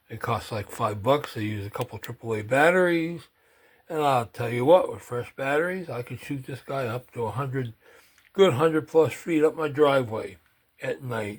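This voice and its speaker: A man, somewhat breathy, with big swings in loudness. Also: medium pitch for a man, ordinary pitch variation, moderate pace. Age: 70s. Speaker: gun enthusiast video host. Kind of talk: casual gear show-and-tell. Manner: casual, conversational with fillers.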